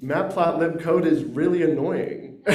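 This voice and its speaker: Room echo can be heard around a man as he talks. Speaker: workshop participant presenting a software tool. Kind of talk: short project presentation. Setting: workshop room with microphone, also on Zoom. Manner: loud.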